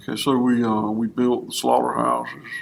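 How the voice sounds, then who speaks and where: A man talks with a Southern US accent. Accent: Southern US drawl. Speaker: fourth-generation cattleman. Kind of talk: interview answer.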